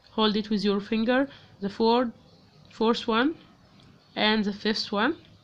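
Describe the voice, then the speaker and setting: Her Arabic accent clear, a woman speaks at a fairly slow pace and a fairly high pitch, with fairly even intonation and long, frequent pauses. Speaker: crochet teacher. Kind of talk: tutorial. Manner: halting, many fillers.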